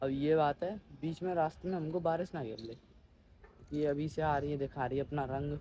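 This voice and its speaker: A man talks at a moderate pace with a fairly high pitch. His voice is somewhat breathy and his intonation fairly even. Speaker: vlogger. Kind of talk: casual vlog. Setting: outdoors on a rooftop.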